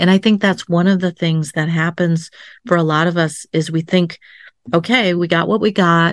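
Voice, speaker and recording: Against a quiet background, a woman talks in an ordinary speaking voice at a fairly low pitch and moderate pace. Her intonation is fairly even, and the sound is dry and close with no echo. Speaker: psychotherapist and coach. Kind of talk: interview storytelling.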